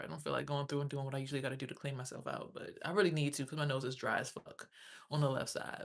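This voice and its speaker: Her pitch very deep and low, a woman talks at a very fast pace with vocal fry. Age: 30s. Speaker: livestreamer. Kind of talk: casual chat. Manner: animated.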